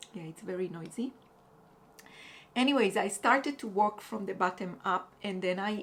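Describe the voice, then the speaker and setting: A woman with a non-native accent speaks at a fairly slow pace. Her pitch is medium, with ordinary variation. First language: not English. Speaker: crochet vlogger. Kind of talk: casual vlog talk. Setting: apartment above busy road. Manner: halting, many fillers.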